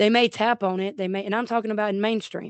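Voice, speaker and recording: Fairly even intonation from a woman. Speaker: YouTuber in addiction recovery. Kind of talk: personal testimony vlog. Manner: loud, outspoken.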